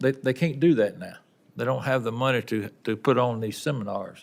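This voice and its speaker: A man with a Southern US accent at a moderate pace, on a very clean recording with a silent background. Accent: Southern US, says it is noticeable. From Tennessee, Wilson County. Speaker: railroad union representative. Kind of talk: testimony. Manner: halting, many repetitions.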